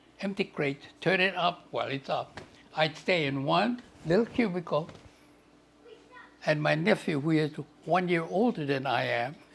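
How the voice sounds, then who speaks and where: Spoken at a moderate pace with long, frequent pauses, this voice has vocal fry and ordinary pitch variation. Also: man, fairly high pitch for a man. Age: 80s. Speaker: family elder. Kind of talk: family reminiscence.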